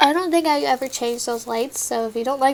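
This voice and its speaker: A woman with an American accent speaks at a fairly quick pace. Her pitch varies in an ordinary way, and there is noticeable background noise. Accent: occasional country Texas. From Texas. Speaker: gaming YouTuber. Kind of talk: gameplay commentary. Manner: talkative.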